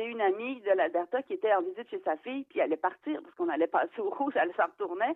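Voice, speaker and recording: Barely pausing, a woman talks at a very fast pace, her pitch swinging very widely and her loudness rising and falling sharply. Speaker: novelist. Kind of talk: interview.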